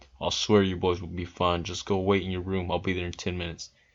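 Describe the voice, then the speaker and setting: Putting on a gruff character voice, a man rattles along at a very fast pace with very deep, low pitch and monotone, flat intonation against a quiet background. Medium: read story. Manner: gruff, cursing.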